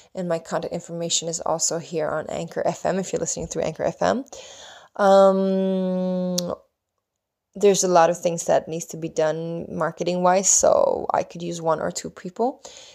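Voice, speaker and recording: A woman speaks with a Swedish accent at a moderate pace. The recording is very clean, with a silent background. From Sweden. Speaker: spiritual podcast host. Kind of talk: solo monologue podcast. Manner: halting.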